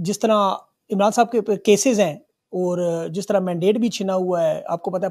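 The background stays quiet while the voice holds a fairly even intonation. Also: man. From Pakistan. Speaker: journalist and talk show host; journalist, talk show host. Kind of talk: news monologue; interview. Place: studio. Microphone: studio mic.

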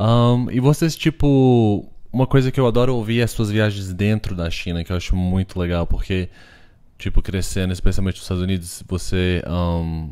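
Against a quiet background, a man's fairly low voice has a dark, mellow tone and ordinary pitch variation. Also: moderate pace. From Brazil. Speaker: podcast host and artist; podcast host. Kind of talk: casual chat. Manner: halting, code-switching. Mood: relaxed, friendly. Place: home room.

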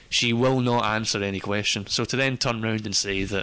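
A man with a Scottish accent, fairly low pitch and monotone, flat intonation. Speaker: podcast panelist. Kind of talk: casual chat.

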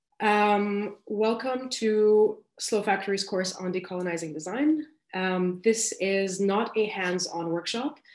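A very slow-paced woman at medium pitch, ordinary pitch variation, a quiet background and audible room echo. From Lebanon. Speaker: graphic designer. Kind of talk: lecture. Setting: video call. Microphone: video call.

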